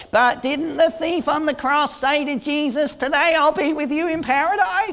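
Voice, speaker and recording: This put-on character voice sits at a high pitch and moves at a moderate pace. Light background noise can be heard. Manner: sheepish, hesitant.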